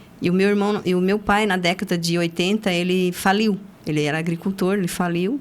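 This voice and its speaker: Speaking fairly quickly in an unremarkable speaking voice, a woman keeps a medium pitch, very even loudness and fairly even intonation. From southern Brazil (Paraná, raised in Joinville, Santa Catarina). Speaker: accountant, firm founder. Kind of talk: interview, life story.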